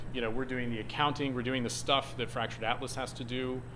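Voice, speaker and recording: There is audible room echo around a man's medium-pitched voice, which has a bright, sharp tone and vocal fry. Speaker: nonprofit services director. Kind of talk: presentation to a group. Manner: fast.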